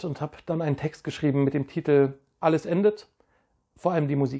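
A man with a dark, mellow tone talks at a fairly quick pace. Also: quiet background. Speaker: poetry slam poet and organizer. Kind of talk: poetry slam performance, spoken word. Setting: home setup, private video recording. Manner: rhythmic, wordplay-driven, animated delivery; casual, friendly. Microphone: lapel.

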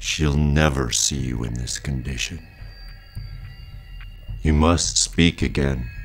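Over clear background noise, a man puts on a character voice and talks at a fairly slow pace with long, frequent pauses. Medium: audio drama. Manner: calm, cryptic, ominous.

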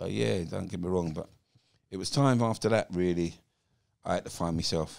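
Over a quiet background, a man with a very deep, low pitch and vocal fry speaks at a fairly quick pace, the sound dry with no echo. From England. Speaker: former professional footballer; podcast guest. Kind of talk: podcast interview, personal life story. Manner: animated storyteller. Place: home room. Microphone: handheld.

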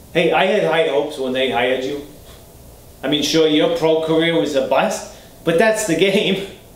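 Speaking at a moderate pace with an American accent and ordinary pitch variation, a man is heard with audible room echo. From Boston area, USA. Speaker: character actor. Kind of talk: acting scene, self-tape. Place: home room.

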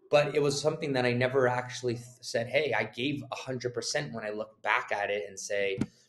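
Noticeable background noise runs under the recording. A man speaks at a fairly quick pace. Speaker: guest. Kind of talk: interview answer. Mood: reflective, earnest. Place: office. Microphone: video call.

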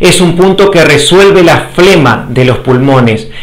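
High-pitched male voice at a fairly slow pace, with lively intonation. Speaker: health educator. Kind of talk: lecture.

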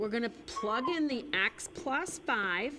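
Against noticeable background noise, a woman uses a raised, projected voice at a very slow pace with very wide pitch swings. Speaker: teacher hosting a homework show. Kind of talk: tutorial. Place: studio. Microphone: lapel.

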